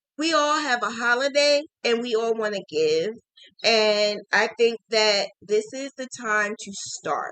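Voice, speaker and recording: A woman with a New Jersey accent speaks at a very slow pace, her pitch fairly high and her tone bright and sharp. Her intonation is lively, and the sound is dry and close with no echo. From New Jersey, Jersey City. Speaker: crochet teacher. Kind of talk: live stream chat.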